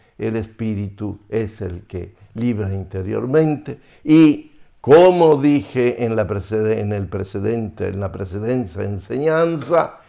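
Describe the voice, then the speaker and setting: At a fairly slow pace, a man with a medium pitch speaks in a dark, mellow tone with lively intonation. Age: 80s+. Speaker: priest. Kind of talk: spiritual teaching. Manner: halting.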